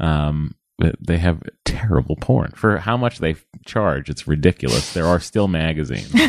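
This man's pitch is very deep and low. His voice crackles with vocal fry. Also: moderate pace. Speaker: TV writer and podcaster. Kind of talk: casual chat. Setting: studio.

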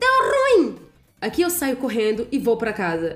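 A woman talks at a moderate pace in an animated tone. Music plays in the background. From Rio de Janeiro, Brazil. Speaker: podcaster. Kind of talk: comedic storytelling monologue.

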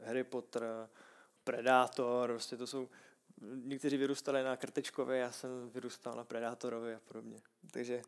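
A man of medium pitch speaks monotone and flat at a moderate pace, with long, frequent pauses. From Czech Republic, Prague. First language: Czech (speaking Slovak). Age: 20s. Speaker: Thai boxing fighter. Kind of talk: casual interview.

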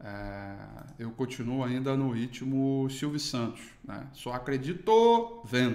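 Over audible room echo, a man talks at a very slow pace with ordinary pitch variation and big swings in loudness. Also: medium pitch for a man. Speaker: market analyst. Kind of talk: morning market commentary.

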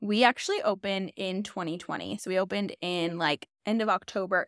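A woman speaks at a fairly quick pace with medium pitch in a plain, everyday voice, recorded dry and close with no echo. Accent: American. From Chicago. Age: 20s. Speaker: nurse practitioner and med spa owner. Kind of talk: casual chat.

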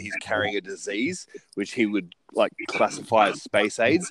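In a dry, close recording with no echo, a man with a plain, everyday voice talks at a medium pitch and a moderate pace. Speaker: podcast co-host. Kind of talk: casual chat. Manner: talkative, upbeat, excitable.

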